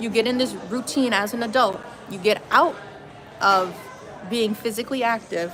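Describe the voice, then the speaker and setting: Woman with an American accent, fairly high pitch and ordinary pitch variation, at a moderate pace with long, frequent pauses, audible room echo and noticeable background noise. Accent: Wisconsin accent, per others. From Wisconsin, suburbs. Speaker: yoga teacher and vlogger. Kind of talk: casual vlog monologue. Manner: casual, chatty.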